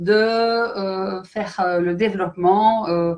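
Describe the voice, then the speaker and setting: Against a quiet background, the speaker talks at a very slow pace with a Belgian accent. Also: woman. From Belgium. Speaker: company director. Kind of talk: live stream presentation. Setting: online live stream. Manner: hesitant, many fillers.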